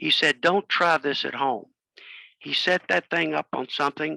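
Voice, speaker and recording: A man with a fairly high pitch, a bright, sharp tone and vocal fry talks at a moderate pace with ordinary pitch variation, in a very clean recording with a silent background and a dry, close sound with no echo. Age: 80s+. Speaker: amateur radio presenter. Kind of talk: club talk presentation.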